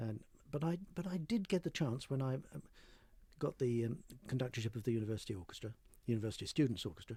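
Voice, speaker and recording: A man speaks very fast at a medium pitch, with lively intonation and long, frequent pauses. His tone is dark and mellow, and somewhat breathy. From North London, England. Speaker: conductor. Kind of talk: interview. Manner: hesitant, with fillers and repeats.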